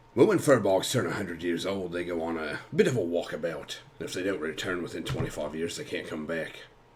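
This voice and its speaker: Putting on a character voice, a man rasps out words at a very fast pace with very deep, low pitch, big swings in loudness and hardly any pauses. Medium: actual play. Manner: reserved, guarded.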